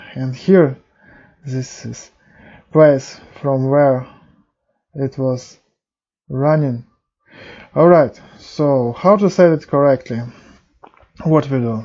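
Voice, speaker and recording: A man with a non-native accent, fairly high-pitched, ordinary pitch variation, a very slow pace and long, frequent pauses. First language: not English. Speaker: programming tutorial youtuber. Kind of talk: tutorial. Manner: halting.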